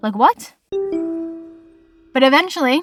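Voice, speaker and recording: A woman with an American accent, animated in tone, ordinary pitch variation, dry and close sound with no echo. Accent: Boston accent, comes out at times. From Massachusetts, US. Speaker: podcast host. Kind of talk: casual solo podcast.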